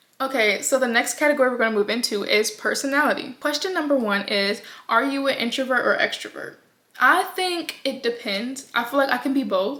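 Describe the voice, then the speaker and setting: A woman with a high pitch speaks at a fairly quick pace in a raised, projected voice, with ordinary pitch variation. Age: 20s. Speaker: vlogger. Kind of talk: casual vlog talk. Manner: chatty, hesitant with fillers.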